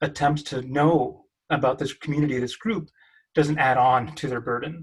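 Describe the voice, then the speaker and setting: A man speaks at a moderate pace in a somewhat breathy voice, his intonation fairly even. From Mexican American. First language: Spanish. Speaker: PhD student researcher. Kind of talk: panel discussion.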